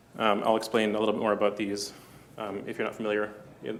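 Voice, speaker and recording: A man talks at a medium pitch, and audible room echo fills the recording. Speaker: conference speaker, software developer. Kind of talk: conference talk. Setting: stage with audience. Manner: fast; hesitant, many fillers.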